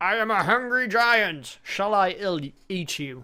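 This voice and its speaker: A put-on character voice, fairly high in pitch and raised and projected, moves at a fairly slow pace in a very clean recording with a silent background. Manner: menacing.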